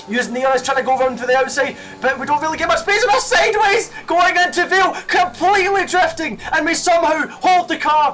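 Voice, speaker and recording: Over noticeable background noise, a man speaks at an extremely high pitch in a raised, projected voice with lively intonation. He goes at a very fast pace with hardly any pauses. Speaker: sim racing YouTuber. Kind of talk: race commentary over gameplay. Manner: animated.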